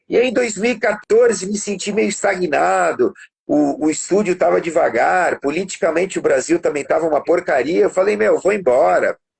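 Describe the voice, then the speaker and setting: A man at a moderate pace with hardly any pauses. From Brazil (born in Portugal, moved at 8-9). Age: 50s. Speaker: musician and studio producer. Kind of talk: music lesson demonstration; casual interview chat.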